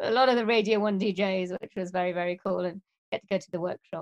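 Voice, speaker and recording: In a Welsh accent, a woman speaks at a fairly quick pace with ordinary pitch variation. The sound is dry and close, with no echo. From Wales. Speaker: musician and voiceover artist. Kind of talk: casual interview.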